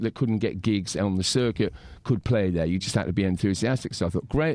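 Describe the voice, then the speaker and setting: Speaking at a very fast pace, a man with an English accent has a dark, mellow tone. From England. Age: 50s. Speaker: punk musician. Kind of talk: interview. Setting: studio.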